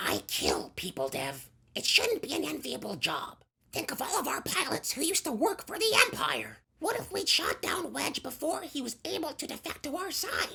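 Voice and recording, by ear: Using a put-on character voice, a woman speaks high-pitched at a moderate pace.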